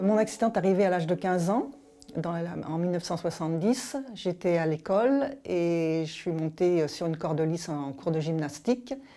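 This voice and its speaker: Her voice is fairly low for a woman, with a dark, mellow tone and lively intonation. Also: moderate pace. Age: 60s. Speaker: paralympic athlete and business executive. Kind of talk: interview testimony. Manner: hesitant, many fillers and restarts.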